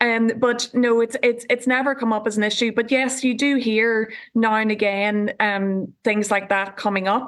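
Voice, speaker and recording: The speech moves at a moderate pace with monotone, flat intonation and very even loudness. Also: woman, fairly high pitch for a woman. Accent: Northern Irish. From Northern Ireland, County Tyrone. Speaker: politician. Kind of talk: TV panel discussion. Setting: remote link from home.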